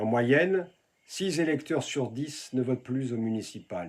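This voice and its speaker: A man with a plain, everyday voice talks at a fairly slow pace, his pitch varying in an ordinary way. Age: 60s. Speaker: local election candidate. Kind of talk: political campaign address.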